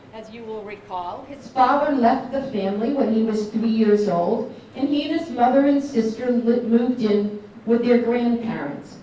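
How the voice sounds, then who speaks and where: A woman's fairly high voice at a moderate pace, with ordinary pitch variation, strong room echo and light background noise. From New England. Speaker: elected state official. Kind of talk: political speech. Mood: earnest, tribute tone. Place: hall.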